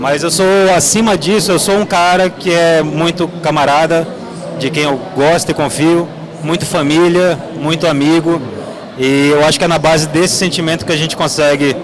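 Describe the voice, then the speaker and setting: A fairly high-pitched male voice at a moderate pace, fairly even in intonation, with audible room echo and noticeable background noise. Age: 30s. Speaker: game producer. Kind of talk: panel discussion. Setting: stage with audience.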